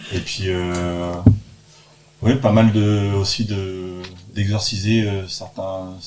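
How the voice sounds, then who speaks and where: A man with a Normandy accent speaks at a very slow pace in a fairly low, flat monotone, leaving long, frequent pauses, with audible room echo and noticeable background noise. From Normandy, France. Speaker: theatre actor. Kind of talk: casual chat. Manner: halting.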